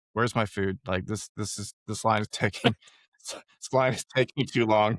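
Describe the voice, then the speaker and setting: A man uses a raspy, put-on character voice at a medium pitch, with monotone, flat intonation, a moderate pace and big swings in loudness. The recording is very clean with a silent background and a dry, close sound with no echo. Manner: annoyed, impatient.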